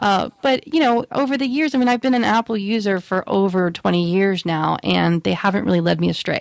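A woman with an unremarkable speaking voice and medium pitch talks at a fairly quick pace with hardly any pauses, lively intonation and very even loudness, in a dry, close sound with no echo. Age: 40s. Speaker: podcast co-host. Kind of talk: casual chat.

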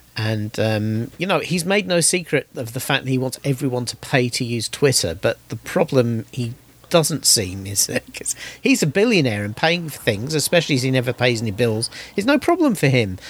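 A man with a British accent, lively intonation, moderate pace. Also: medium pitch for a man. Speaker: podcast host. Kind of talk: casual chat.

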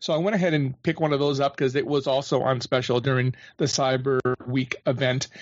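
Using an ordinary speaking voice, a man with a fairly high pitch moves at a fairly quick pace, with very even loudness and fairly even intonation. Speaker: podcast panelist. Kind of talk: casual panel discussion.

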